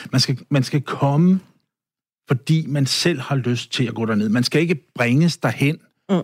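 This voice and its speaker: A man speaks at a fairly slow pace in an unremarkable speaking voice with ordinary pitch variation. The sound is dry and close, with no echo. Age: 60s. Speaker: guest sharing personal story. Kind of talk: interview. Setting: studio.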